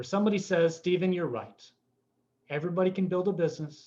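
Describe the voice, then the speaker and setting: A man speaks very fast in a high voice with a dark, mellow tone. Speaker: motivational trainer. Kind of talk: live training seminar. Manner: animated, over the top.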